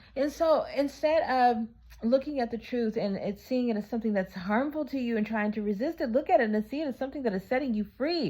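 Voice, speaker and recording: A woman's high-pitched voice, animated in tone, with lively intonation and a very fast pace. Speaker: vlogger giving relationship advice. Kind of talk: casual vlog monologue.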